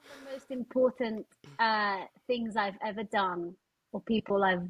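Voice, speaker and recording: This woman talks with a Spanish accent in a somewhat breathy voice. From Spain. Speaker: charity fundraising director, former pianist. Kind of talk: podcast interview.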